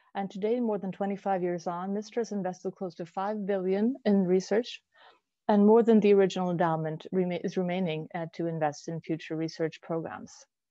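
A woman speaks at a fairly quick pace with fairly even intonation. The sound is dry with no echo, over a quiet background. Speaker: webinar host. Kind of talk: formal webinar introduction. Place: home room. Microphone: earbuds.

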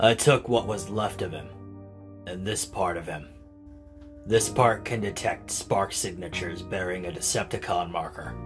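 Over clear music in the background, a man in a put-on character voice speaks at a moderate pace with a very deep, low pitch. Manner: hesitant, sorrowful.

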